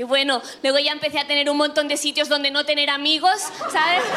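A woman speaks in a raised, projected voice at a high pitch, monotone and flat. She goes at a very fast pace over noticeable background noise. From Catalonia. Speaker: stand-up comedian. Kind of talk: casual chat.

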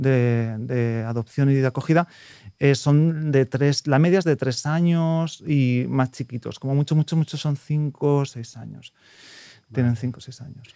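This dark, mellow voice moves at a moderate pace with fairly even intonation but big swings in loudness. The recording is very clean with a silent background, and the sound is dry and close with no echo. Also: man, fairly high pitch for a man. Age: 30s. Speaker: prospective adoptive parent. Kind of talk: interview.

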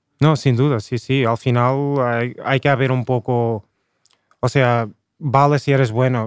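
In an ordinary speaking voice, a man talks at a fairly slow pace and medium pitch with fairly even intonation, the sound dry and close with no echo. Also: very even loudness. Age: 30s. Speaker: rapper. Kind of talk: casual chat.

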